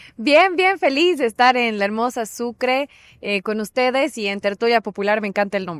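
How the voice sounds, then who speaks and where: In an unremarkable speaking voice, a woman talks at a moderate pace with lively intonation and fairly high pitch, the sound dry and close with no echo. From Bolivia, Cochabamba. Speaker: political scientist. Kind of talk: casual interview.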